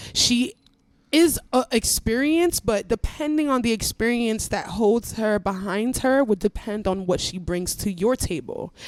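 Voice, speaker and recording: Speaking at a fairly slow pace, a woman uses a plain, everyday voice with fairly high pitch and lively intonation. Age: 20s. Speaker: podcaster. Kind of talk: casual chat.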